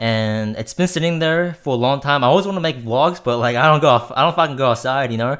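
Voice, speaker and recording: At a very fast pace with hardly any pauses, a man talks in a fairly high pitch with ordinary pitch variation. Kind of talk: casual gaming vlog talk to camera. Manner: stutters; casual, profane.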